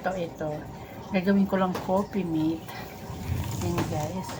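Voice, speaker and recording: The speech comes at a fairly slow pace in a monotone, flat delivery, with audible room echo and noticeable background noise. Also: woman. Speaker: vlogger. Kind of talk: casual vlog chat. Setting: at home, boss asleep. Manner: quiet, not loud.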